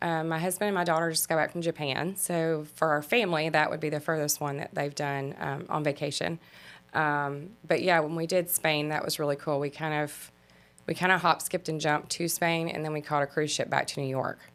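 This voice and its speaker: Against music in the background, a woman with a Mississippi accent talks at a fairly quick pace in a very deep, low voice with monotone, flat intonation. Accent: Southern US, Mississippi. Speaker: travel agent. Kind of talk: interview.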